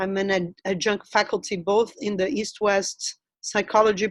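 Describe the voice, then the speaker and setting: In a dry, close sound with no echo, a woman with a Brazilian Portuguese accent speaks at a medium pitch and moderate pace. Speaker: anthropologist. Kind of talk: webinar interview.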